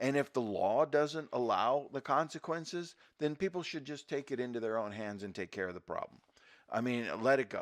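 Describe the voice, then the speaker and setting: Lively in intonation, a man with an unremarkable speaking voice talks at a medium pitch over a quiet background. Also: moderate pace. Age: 60s. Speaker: podcast co-host. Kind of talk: casual chat.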